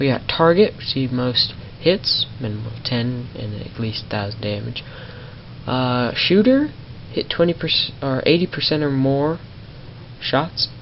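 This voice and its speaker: A woman's very deep, low voice at a fairly slow pace, with lively intonation and noticeable background noise. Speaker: gaming youtuber. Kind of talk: gameplay commentary. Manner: animated. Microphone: possible audio issues from capture software.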